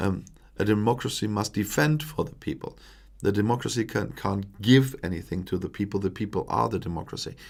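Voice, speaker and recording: A man with a German accent speaks at a moderate pace in a fairly low pitch with vocal fry, on a very clean recording with a silent background. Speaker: political commentator, YouTuber. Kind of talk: live stream Q&A. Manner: halting, many fillers.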